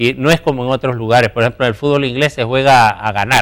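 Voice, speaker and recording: This is a man with a medium-pitched voice. His pitch rises and falls in an ordinary way. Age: 60s. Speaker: sports journalist. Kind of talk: interview. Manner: halting.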